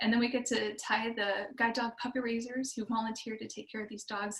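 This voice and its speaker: A woman speaks at a very fast pace. Her fairly high voice keeps a fairly even intonation. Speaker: nonprofit representative for service dogs. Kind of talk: presentation. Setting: video call.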